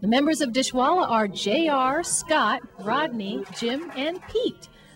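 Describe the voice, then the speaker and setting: Music plays in the background as a woman speaks at a high pitch with lively intonation. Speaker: entertainment reporter, news anchor, talk show host, sports reporter. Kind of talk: entertainment reporter on location, upbeat.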